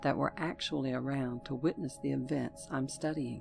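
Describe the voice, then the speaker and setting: With music in the background, a woman speaks in a very deep, low pitch with a Southern US accent. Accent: Southern US drawl. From Southern United States. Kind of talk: horror story narration.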